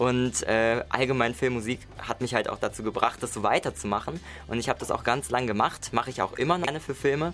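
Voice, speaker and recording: A man talks at a fairly quick pace, his pitch varying in an ordinary way over noticeable background noise. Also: medium pitch for a man. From Mainz, Germany. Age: 20s. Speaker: singer-songwriter and music producer. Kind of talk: radio interview. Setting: radio studio.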